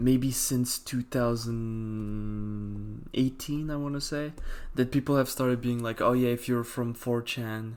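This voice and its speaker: With a non-native accent, a man talks at a very slow pace in a flat monotone at medium pitch, on a very clean recording with a silent background. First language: not English. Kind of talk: casual chat.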